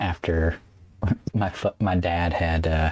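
Somewhat breathy voice with an American accent, very clean recording, silent background. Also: man. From North Carolina (Caldwell County, foothills). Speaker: documentary photographer. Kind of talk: casual interview conversation. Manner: halting, many fillers.

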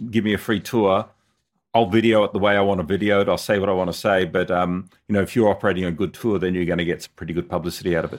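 Speaking very fast with an Australian accent, a man keeps a fairly low pitch and fairly even intonation. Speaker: motorcycle videographer. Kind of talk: interview. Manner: hesitant, many fillers.

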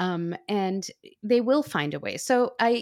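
A woman at medium pitch with very wide pitch swings, on a very clean recording with a silent background. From Pakistan. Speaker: history professor. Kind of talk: interview conversation.

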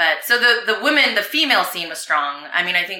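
A woman speaks with an American accent and very wide pitch swings. Audible echo from the room surrounds her voice. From US West Coast (Arcadia, California). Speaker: former pro surfer, surfboard business owner. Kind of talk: casual interview. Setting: at her home.

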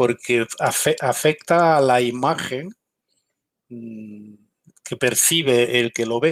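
In a dry, close recording with no echo, a man talks very slowly at a medium pitch with ordinary pitch variation. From Galicia, Spain. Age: 50s. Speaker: military intelligence veteran and security consultant. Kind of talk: interview.

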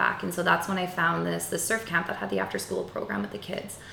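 A woman speaks with an Albertan accent. Noticeable background noise is present. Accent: Canadian (Alberta). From rural Alberta, Canada. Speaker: yoga instructor. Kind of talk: casual interview.

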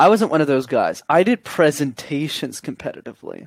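An unremarkable speaking voice with a Canadian accent, fairly quick in pace, with ordinary pitch variation and a dry, close sound with no echo. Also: man. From Canada, Montreal. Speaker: communication coach. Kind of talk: interview.

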